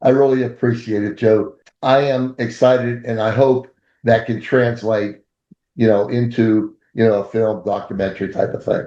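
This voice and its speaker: The man speaks at a moderate pace in a medium pitch. His tone is dark and mellow, his intonation monotone and flat. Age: 70s. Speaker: restaurant owner. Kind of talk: interview.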